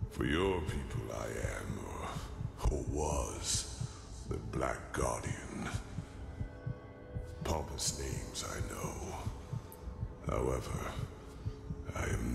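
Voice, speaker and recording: A man whispering in a put-on character voice at a very slow pace, with loud background noise. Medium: game stream. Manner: slow, grave.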